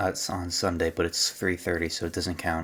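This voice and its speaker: A man speaks. His voice is quiet. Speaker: gaming video creator. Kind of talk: casual gameplay commentary. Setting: home recording at night. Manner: quiet, subdued; halting, many fillers.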